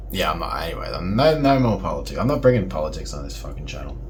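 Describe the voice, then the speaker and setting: Noticeable background noise and audible room echo surround a man. His loudness swings a lot. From Australia. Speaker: video blogger. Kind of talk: casual monologue vlog. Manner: hesitant, many fillers and repetitions.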